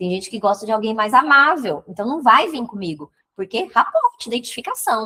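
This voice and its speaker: In a dry, close sound with no echo, a woman speaks fairly quickly in an animated tone, her fairly high pitch making very wide swings and her loudness swinging greatly. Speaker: digital marketing mentor. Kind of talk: live stream teaching. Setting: live stream. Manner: fast.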